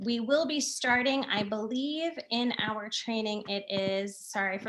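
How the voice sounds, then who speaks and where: A woman's bright, sharp tone at fairly high pitch, fairly slow pace and ordinary pitch variation. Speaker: education program trainer. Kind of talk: training session.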